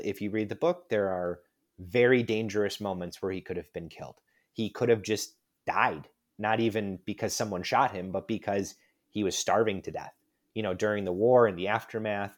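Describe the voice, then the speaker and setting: In a very clean recording with a silent background, a man with an American accent uses a normal speaking voice at a fairly low pitch, talking at a moderate pace with ordinary pitch variation. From US Midwest (West Chicago, Illinois). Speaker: lawyer and author. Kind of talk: casual interview.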